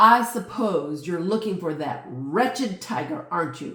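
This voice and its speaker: A gruff, gravelly put-on character voice at a middle pitch and moderate pace, with a slight echo. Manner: grumpy, disdainful.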